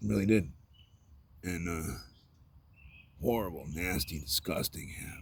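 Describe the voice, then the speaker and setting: Very deep and low, a man's voice carries vocal fry and lively intonation at a fairly slow pace. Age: 40s. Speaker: vlogger. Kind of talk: personal vlog monologue. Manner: loud; halting.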